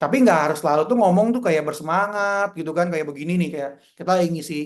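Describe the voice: A man talks at a fast pace in a fairly high pitch, with ordinary pitch variation.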